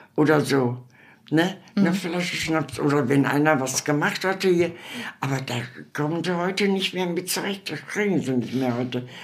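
With audible room echo, a woman at a very deep, low pitch talks at a moderate pace with ordinary pitch variation. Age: 80s+. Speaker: elderly interviewee. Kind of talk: interview. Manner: halting.

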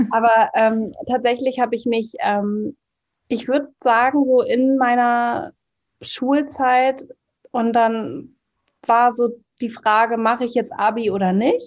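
A woman's high-pitched voice at a very slow pace, with long, frequent pauses and ordinary pitch variation. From northern Germany, Hamburg. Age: 30s. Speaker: trauma-sensitive coach. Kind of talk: podcast interview.

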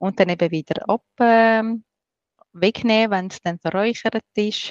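A woman with a Swiss accent speaks at a very slow pace and a medium pitch. The sound is dry and close, with no echo. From Switzerland, rural farm. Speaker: smudging expert and breath therapist. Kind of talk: interview.

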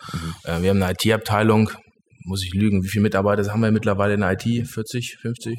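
Speaking at a very fast pace, a man delivers his words in a monotone, flat intonation. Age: 30s. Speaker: company managing director. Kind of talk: interview. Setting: studio.

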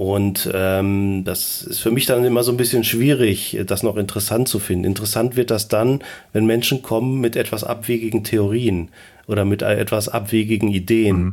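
A man with an ordinary speaking voice talks at a moderate pace and fairly low pitch with fairly even intonation. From Germany, near Bielefeld (East Westphalia). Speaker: voice assistant expert, computer scientist. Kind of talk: interview.

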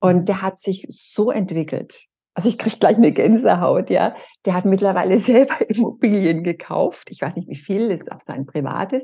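With a Franconian accent, a woman speaks at a moderate pace in a dark, mellow, somewhat breathy voice of medium pitch, with lively intonation and big swings in loudness. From Franconia, Bavaria (Erlangen). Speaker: happiness coach. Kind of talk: interview conversation.

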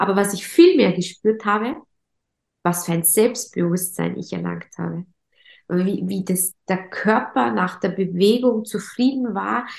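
A woman's voice with vocal fry at a fairly slow pace. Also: medium pitch for a woman, ordinary pitch variation. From Austria, Vorarlberg. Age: 30s. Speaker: entrepreneur, event agency founder. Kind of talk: podcast interview. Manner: hesitant with many fillers and repetitions.

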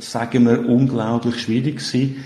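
Somewhat breathy and dark, mellow in tone, a man with a Swiss accent speaks fairly slowly at a medium pitch with fairly even intonation. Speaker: software company founder. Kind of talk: interview. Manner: halting.

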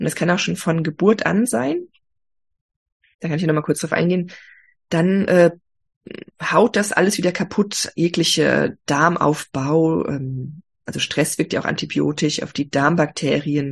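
Somewhat breathy and fairly low-pitched, a woman speaks at a fairly slow pace with ordinary pitch variation. She leaves long, frequent pauses. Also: quiet background. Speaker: health coach. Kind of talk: interview.

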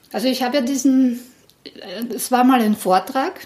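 Against noticeable background noise, a woman speaks in a high pitch at a moderate pace with fairly even intonation. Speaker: podcast host, district museum staff. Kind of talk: casual interview and presentation.

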